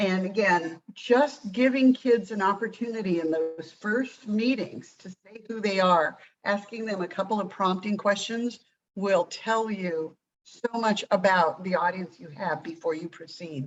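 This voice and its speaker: Speaking at a fairly slow pace, a woman uses an ordinary speaking voice at medium pitch, with ordinary pitch variation and big swings in loudness. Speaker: program trainer. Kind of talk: training presentation.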